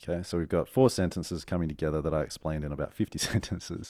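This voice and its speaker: In an Australian accent, a dark, mellow tone runs at a very fast pace with ordinary pitch variation in a very clean recording with a silent background. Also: man. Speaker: strategist and author. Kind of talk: casual interview.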